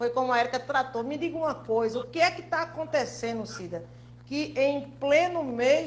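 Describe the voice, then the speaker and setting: Over noticeable background noise, a woman's speech moves at a moderate pace. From Brazil, Pernambuco sertão (São Francisco region). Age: 50s. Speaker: blogger. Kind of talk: interview.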